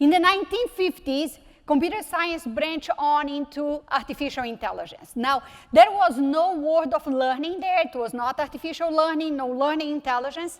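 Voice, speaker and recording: At a moderate pace, a woman speaks in a high voice with a Brazilian Portuguese accent. Her pitch varies in an ordinary way. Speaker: technology executive. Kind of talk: conference keynote talk. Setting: stage with audience.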